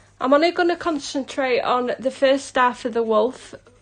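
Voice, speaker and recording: Here a woman speaks in a Yorkshire accent. She keeps a moderate pace. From South Yorkshire, England. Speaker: hobby colouring artist. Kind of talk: live stream tutorial. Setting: live stream. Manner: casual, chatty.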